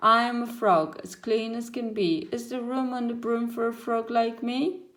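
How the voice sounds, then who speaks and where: A woman's put-on character voice, croaky and fairly high in pitch, at a moderate pace. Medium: read story.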